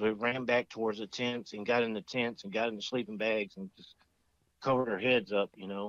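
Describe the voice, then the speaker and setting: A man speaks at a fairly quick pace in a fairly low pitch with monotone, flat intonation. The background is quiet and the sound is dry with no echo. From Arkansas, Mississippi County (grew up from age 8-9); Arkansas. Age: 50s. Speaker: Iraq war veteran, witness; podcast guest. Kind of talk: casual interview, personal testimony. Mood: calm, reflective. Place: home room. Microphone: studio mic.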